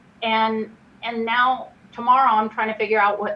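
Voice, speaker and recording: A woman speaks at a moderate pace and a fairly high pitch. There is noticeable background noise. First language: not English. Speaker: redistricting commissioner. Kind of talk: public meeting discussion.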